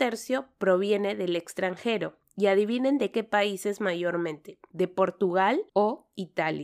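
Very slow delivery with lively intonation. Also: woman, very clean recording, silent background. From Peru. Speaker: nurse and podcast host. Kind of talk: interview podcast.

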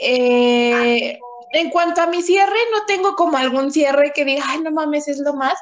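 A woman speaks at a fairly slow pace in a high voice with a Mexican accent. Her intonation is lively. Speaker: podcast co-host. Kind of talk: casual chat.

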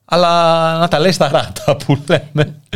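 A man speaks with vocal fry. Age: 30s. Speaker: internet radio host. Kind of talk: casual chat. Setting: studio.

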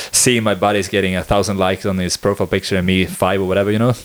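In a Swedish accent, a man speaks at a fairly low pitch. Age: 20s. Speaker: podcast host. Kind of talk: casual chat.

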